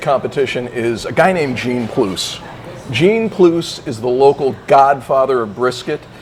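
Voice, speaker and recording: This man talks at a fairly slow pace with an American accent. Background noise is noticeable. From Wisconsin, US Midwest. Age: 60s. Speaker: barbecue competitor. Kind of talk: casual interview.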